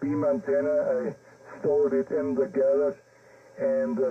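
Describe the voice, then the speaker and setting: Against noticeable background noise, a man with a German accent talks at a fairly slow pace. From Germany. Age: 70s. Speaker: amateur radio operator. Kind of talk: radio contact chat. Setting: amateur radio transmission. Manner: halting.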